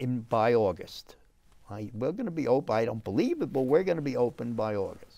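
A man in a New York accent, with a dark, mellow tone and lively intonation. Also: medium pitch for a man, fairly quick pace. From New York City, the Bronx. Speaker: restaurateur; guest. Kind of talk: casual chat. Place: studio.

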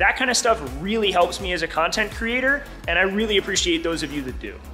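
Over faint background music, a man talks in a raised, projected voice at a moderate pace. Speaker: car builder vlogger. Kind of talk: casual vlog chat. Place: workshop. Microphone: phone near.

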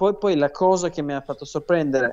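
Here a man talks at a fairly quick pace. His voice is high-pitched. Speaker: professional tennis player. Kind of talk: interview.

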